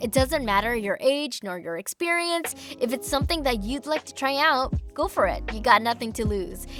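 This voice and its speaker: A high-pitched woman with lively intonation and big swings in loudness, music in the background. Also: moderate pace. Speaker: voice actor. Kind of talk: scripted interview answer.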